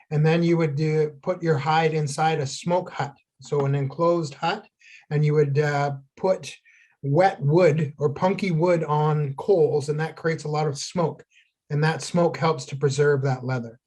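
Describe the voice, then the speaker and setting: The voice is somewhat breathy, with fairly even intonation and a fairly slow pace. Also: man, fairly high pitch for a man. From Ontario First Nation, Canada. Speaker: traditional healer, craft teacher. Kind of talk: tutorial. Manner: halting, many fillers.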